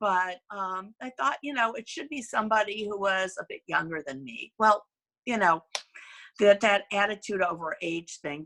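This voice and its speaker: On a very clean recording with a silent background, a woman speaks at a medium pitch and moderate pace, her tone bright and sharp, her intonation lively and the sound dry and close with no echo. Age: 60s. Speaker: company CEO. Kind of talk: business presentation. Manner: conversational, with hesitations.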